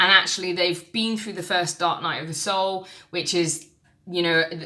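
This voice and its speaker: A woman with an English accent, a bright, sharp tone and fairly low pitch. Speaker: tarot reader. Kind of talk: tarot reading monologue. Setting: recorded on camera. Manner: fast.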